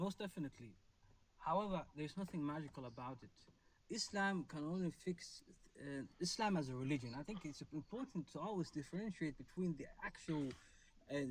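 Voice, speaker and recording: A man with a non-native accent talks at a fairly quick pace, his pitch fairly high and his intonation lively. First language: not English. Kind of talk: live debate discussion. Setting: online live stream. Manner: halting, with many fillers.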